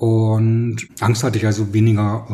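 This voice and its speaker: This man has a dark, mellow tone and a fairly low pitch. His voice is somewhat breathy. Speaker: publicist. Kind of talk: interview.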